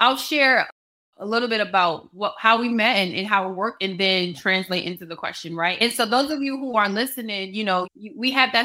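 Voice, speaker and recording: With an American accent, a woman uses a fairly high pitch and a bright, sharp tone, keeping ordinary pitch variation at a moderate pace. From New York City, the Bronx. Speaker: business and personal coach. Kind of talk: casual interview chat.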